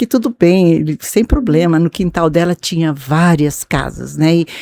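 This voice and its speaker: A woman's fairly low, dark, mellow voice with ordinary pitch variation, dry and close with no echo. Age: 70s. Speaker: pastor's wife. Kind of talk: testimony. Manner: halting.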